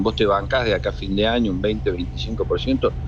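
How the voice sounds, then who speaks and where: A man speaks over noticeable background noise. The room adds an audible echo. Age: 60s. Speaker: senator and former university rector. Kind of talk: radio interview.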